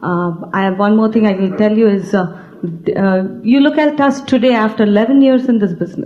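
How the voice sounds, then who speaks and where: With a non-native accent, a woman talks at a moderate pace and a fairly high pitch. Her pitch varies in an ordinary way over noticeable background noise. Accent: non-native, foreign. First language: an Indian language. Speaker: business team leader. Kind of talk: stage speech. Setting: stage with audience. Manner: halting.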